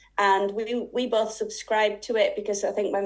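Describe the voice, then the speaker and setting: Speaking at a fairly quick pace, a woman with a Yorkshire accent keeps a fairly high pitch and a monotone, flat intonation. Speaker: sewing and quilting teacher. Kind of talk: interview. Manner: halting.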